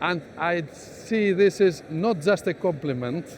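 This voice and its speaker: There is noticeable background noise behind this man's voice. He has a Greek accent, a fairly high pitch and lively intonation. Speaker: business executive. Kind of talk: interview. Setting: exhibition stand.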